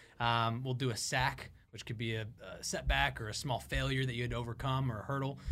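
An upbeat, enthusiastic man at medium pitch and a moderate pace. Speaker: co-host recruiter. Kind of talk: casual chat. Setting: studio.

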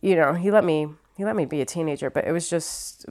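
On a very clean recording with a silent background, a woman with a Midwestern accent speaks at a moderate pace and fairly low pitch, with ordinary pitch variation. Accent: American Midwest. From Ohio, US Midwest. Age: 30s. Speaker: stand-up comedian. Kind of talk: casual interview.

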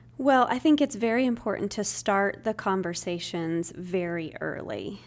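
A woman speaks in a normal speaking voice at medium pitch and a moderate pace. The recording is very clean, with a silent background. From US Northwest, Spokane, Washington. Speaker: nonprofit executive director. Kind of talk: podcast interview.

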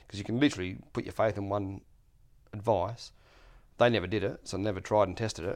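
On a very clean recording with a silent background, a man with an Australian accent talks at a very fast pace with long, frequent pauses. His pitch is fairly low and his intonation fairly even. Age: 40s. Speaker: landlord and self-taught maker. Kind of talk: casual chat.

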